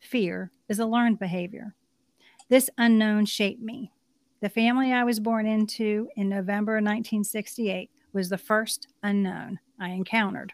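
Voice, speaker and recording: Dry and close with no echo, a woman's unremarkable speaking voice comes through at a fairly high pitch and a moderate pace. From Pennsylvania, Army brat (moved around). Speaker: author and life coach. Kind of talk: interview.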